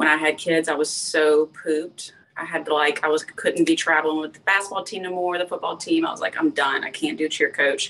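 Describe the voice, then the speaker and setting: Talking at a fairly quick pace with hardly any pauses, a woman comes through over noticeable background noise. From Louisiana, LaPlace. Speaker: lifestyle influencer. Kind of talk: casual chat.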